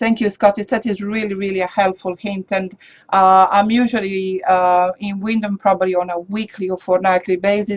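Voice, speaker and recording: With a non-native accent, a woman speaks at a moderate pace in a medium pitch and a monotone, flat intonation. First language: not English. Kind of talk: interview. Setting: studio.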